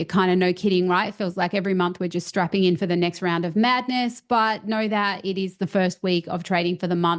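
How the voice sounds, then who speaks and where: A woman speaks at a fairly quick pace in a medium pitch. Her intonation stays fairly even over a quiet background. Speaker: crypto trading YouTuber. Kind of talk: market analysis video. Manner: fast.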